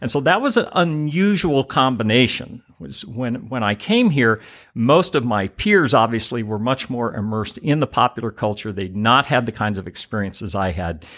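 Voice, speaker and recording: A man with an American accent and an unremarkable speaking voice, medium pitch, lively intonation, a moderate pace and hardly any pauses, on a very clean recording with a silent background. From Oklahoma. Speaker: university dean. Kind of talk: interview. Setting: studio.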